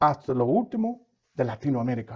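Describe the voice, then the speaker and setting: A man speaks at a fairly slow pace with very wide pitch swings, a somewhat breathy, animated tone and a quiet background. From United States. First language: English (speaking Spanish). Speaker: pastor. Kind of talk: sermon.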